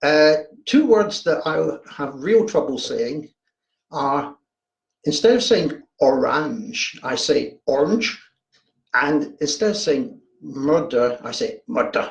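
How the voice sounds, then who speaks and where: A man speaks with a Glaswegian accent. His pace is very slow. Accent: Glaswegian Scottish. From Scotland, Glasgow. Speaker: horror fiction writer. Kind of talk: casual livestream chat. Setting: home livestream, video. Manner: hesitant, repeats words.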